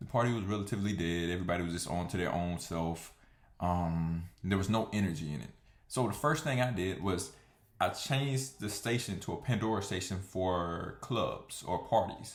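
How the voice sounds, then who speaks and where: With an American accent, a man speaks at a moderate pace and fairly low pitch with ordinary variation. Audible room echo surrounds his voice. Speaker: vlogger. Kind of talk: casual monologue. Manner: hesitant, many fillers.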